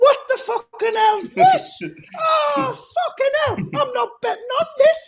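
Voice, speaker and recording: A man shouts in a put-on character voice at an extremely high pitch. He goes at a fairly slow pace. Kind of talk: casual, swearing. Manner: camp.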